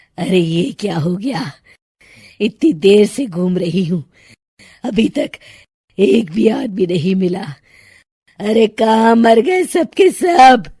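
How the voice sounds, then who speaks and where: A woman cackles in a put-on character voice with a menacing tone at medium pitch. She talks at a fairly slow pace, with long, frequent pauses. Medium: cartoon. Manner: cackling, menacing.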